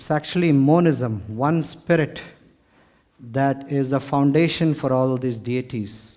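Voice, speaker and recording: A man with an Indian accent, a dark, mellow tone, fairly high pitch and ordinary pitch variation, at a fairly slow pace. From India, Mumbai. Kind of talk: lecture to live audience. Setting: stage with audience.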